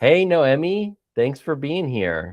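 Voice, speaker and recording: A man's fairly high-pitched voice at a very slow pace, with a quiet background. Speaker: podcast host. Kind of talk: casual interview chat.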